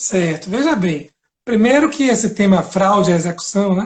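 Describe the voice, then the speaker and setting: A man's voice sits high in pitch, with ordinary variation. He keeps to a moderate pace. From Bahia, Brazil. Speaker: law professor and lawyer. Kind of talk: lecture-style live interview. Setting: Instagram live video.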